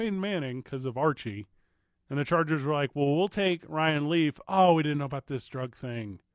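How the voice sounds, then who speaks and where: An unremarkable speaking voice talks with an American accent. The pace is fairly quick, and the pitch variation is ordinary. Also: man. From US Midwest. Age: 30s. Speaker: sports radio host. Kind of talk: sports talk radio. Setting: radio studio.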